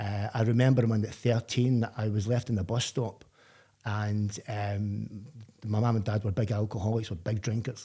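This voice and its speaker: In a very clean recording with a silent background, a man with a Glaswegian accent speaks at a moderate pace with a fairly low pitch, a dark, mellow, somewhat breathy tone and monotone, flat intonation. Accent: Glaswegian Scottish. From Scotland, Glasgow. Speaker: person in addiction recovery. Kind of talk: podcast interview. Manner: halting, with repetitions.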